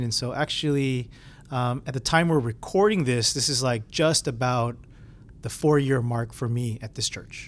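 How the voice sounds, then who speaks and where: A man talks in an ordinary speaking voice. His pitch is medium, with ordinary variation. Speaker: pastor. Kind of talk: casual chat. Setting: studio.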